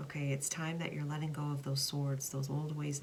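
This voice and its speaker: A woman with a very deep, low pitch speaks over noticeable background noise. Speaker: tarot card reader. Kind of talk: tarot reading to camera.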